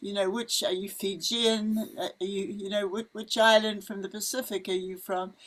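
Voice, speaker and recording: Here a woman speaks with a New Zealand accent. Her pitch is fairly high and her pace moderate. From New Zealand, Wellington. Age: 80s+. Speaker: missionary. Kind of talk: casual chat. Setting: outdoors. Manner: animated.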